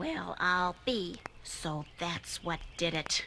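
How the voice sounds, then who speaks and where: Against clear background noise, a female-sounding put-on character voice with a fairly low pitch for a woman speaks at a very slow pace. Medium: audio drama.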